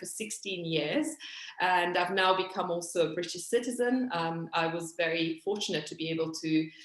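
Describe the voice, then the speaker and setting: A woman speaks with an Italian accent at a moderate pace and ordinary pitch variation. Noticeable background noise can be heard. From Italy, Milan. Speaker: interpreter and translator, activist. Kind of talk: video call panel talk. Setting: video call. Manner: hesitant, many fillers.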